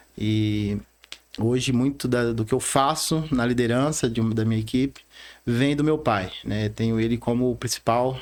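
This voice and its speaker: A man speaks at a moderate pace with a medium pitch. His intonation is fairly even and his loudness stays very even. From Rondônia, Brazil (born in Bahia). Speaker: bank branch manager. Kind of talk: podcast interview, personal story.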